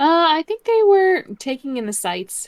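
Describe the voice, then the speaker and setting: A squeaky put-on character voice from a woman, extremely high in pitch with very wide pitch swings, at a moderate pace. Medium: actual play. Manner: measured, dry.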